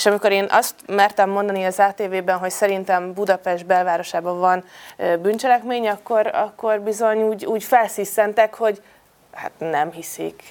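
A woman speaks at a moderate pace and a medium pitch in a plain, everyday voice. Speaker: deputy mayor. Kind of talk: panel discussion.

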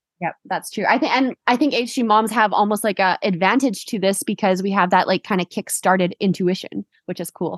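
An ordinary speaking voice from a woman with a Canadian accent, medium in pitch with ordinary pitch variation, at a fairly quick pace with hardly any pauses, in a dry, close sound with no echo against a quiet background. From Canada. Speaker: podcast host. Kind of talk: casual interview; scripted narration.

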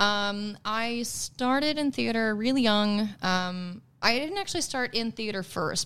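On a very clean recording with a silent background, a woman speaks with lively intonation in a Midwestern American accent. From US Midwest. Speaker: singer and stage actor. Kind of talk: casual chat. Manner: animated.

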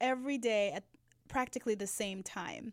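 Heard in a very clean recording with a silent background, a woman speaks in a high voice. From Jamaica. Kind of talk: casual chat.

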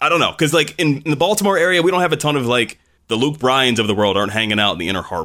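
A man speaks very fast at a medium pitch, his bright, sharp tone swinging very widely in pitch, with vocal fry. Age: 20s. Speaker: podcast host, former country radio host. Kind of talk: casual chat.

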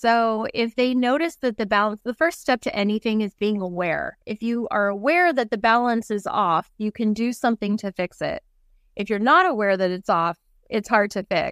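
In a very clean recording with a silent background and a dry, close sound with no echo, a woman talks at a moderate pace with a fairly high pitch and lively intonation. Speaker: mental health counselor. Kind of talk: casual interview chat.

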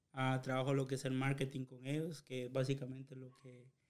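A man speaks with a fairly high voice. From Guatemala, Chiquimula. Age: 20s. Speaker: podcast co-host. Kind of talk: casual chat.

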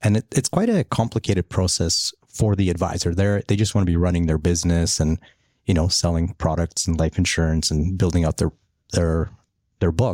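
A man with a Polish accent, a very deep, low pitch and a dark, mellow tone, fairly quick pace and very even loudness, dry and close with no echo, on a very clean recording with a silent background. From Poland, raised in Canada from 11. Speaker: business founder. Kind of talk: casual chat.

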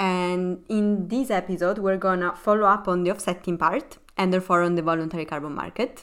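A woman speaks at a fairly quick pace, her pitch fairly low and her tone clear and smooth. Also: fairly even intonation.

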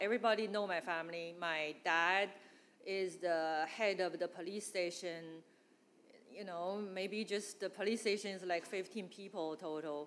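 Spoken at a fairly slow pace in a Chinese accent, the voice keeps a fairly even intonation. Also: woman. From northeast China. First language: Mandarin. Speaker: church member. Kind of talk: testimony. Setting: church gathering with audience.

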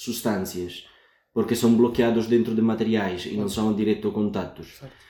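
A man speaks at a moderate pace with an Italian accent. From Sicily, Italy. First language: Italian (speaking Portuguese). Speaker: PhD student in chemistry. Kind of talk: interview. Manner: hesitant, many fillers.

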